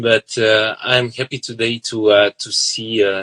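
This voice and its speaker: A man with a Serbian accent talks at a fairly low pitch in a bright, sharp tone. The sound is dry and close with no echo. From southern Serbia. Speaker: violinist. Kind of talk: interview. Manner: halting, many fillers.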